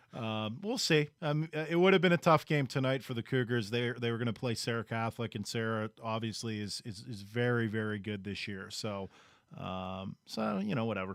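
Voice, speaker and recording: In a very clean recording with a silent background, a man with a Pittsburgh accent speaks at a moderate pace, medium in pitch, with ordinary pitch variation. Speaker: sports radio co-host. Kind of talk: sports talk show. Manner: halting, many fillers.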